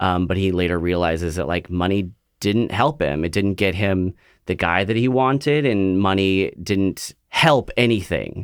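In a very clean recording with a silent background, a man with an American accent and a very deep, low pitch speaks at a fairly slow pace with ordinary pitch variation and very even loudness. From Central Valley of California. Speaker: stage actor. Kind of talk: interview.

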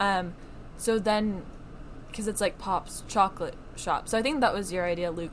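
A woman speaks at medium pitch with ordinary pitch variation. She leaves long, frequent pauses. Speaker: podcast co-host. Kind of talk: casual chat. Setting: home recording, separate computers. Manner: fast.

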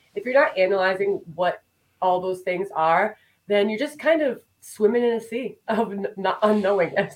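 With lively intonation, a woman speaks at a medium pitch and a moderate pace. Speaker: business coach. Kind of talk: casual interview. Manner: excitable.

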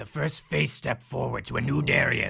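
A man puts on a character voice at a medium pitch and a moderate pace. Music plays clearly in the background. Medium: actual play. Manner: bossy, patronizing.

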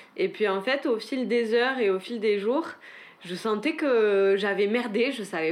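Her pitch is fairly high. The woman speaks at a fairly slow pace. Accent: southern French. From French Pyrenees, south of Haute-Garonne. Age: 20s. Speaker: interviewee. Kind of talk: casual chat. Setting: home balcony. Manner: hesitant, many fillers.

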